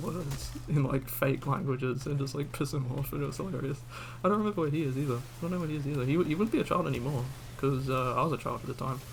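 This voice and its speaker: A man at medium pitch with an Australian accent, amid audible room echo and noticeable background noise. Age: 20s. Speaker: gaming streamer. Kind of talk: casual gameplay chat. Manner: rambling, hesitant with fillers.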